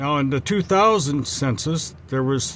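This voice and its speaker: At a fairly slow pace, a man speaks in a medium, somewhat breathy voice. His pitch swings very widely. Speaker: travel vlogger. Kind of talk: casual vlog narration. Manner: stutters a little; halting.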